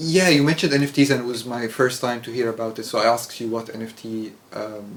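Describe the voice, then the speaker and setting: A man with an Arabic accent talks at a very fast pace, at a medium pitch with ordinary pitch variation. Noticeable background noise runs under his voice. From Egypt. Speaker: English teacher. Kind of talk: casual chat. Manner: halting.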